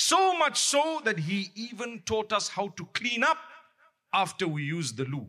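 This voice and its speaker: A man's high, raised and projected voice, bright and sharp in tone, with very wide pitch swings at a fairly slow pace. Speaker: Islamic preacher. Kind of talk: sermon. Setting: mosque. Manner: loud, raised voice.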